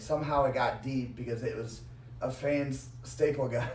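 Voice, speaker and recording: Audible room echo surrounds a man with an American accent speaking at a medium pitch and a moderate pace. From US Midwest, Quad Cities. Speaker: professional wrestler. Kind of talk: casual chat. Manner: halting speech after brain injury.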